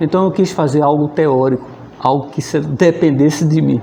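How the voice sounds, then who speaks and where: At a moderate pace, a man talks in a fairly high pitch against noticeable background noise. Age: 60s. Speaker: physics teacher. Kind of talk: oral history interview, personal recollection. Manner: conversational, with hesitations and repetitions.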